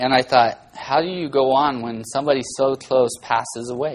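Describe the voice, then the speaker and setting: An ordinary speaking voice. It moves at a moderate pace. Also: man. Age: 40s. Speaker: guest preacher filling in for pastor. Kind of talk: sermon.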